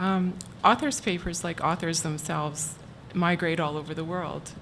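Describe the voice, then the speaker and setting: Against audible room echo, a soft-spoken woman with a fairly low pitch talks at a moderate pace with fairly even intonation. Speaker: archivist at a university library. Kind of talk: conference talk.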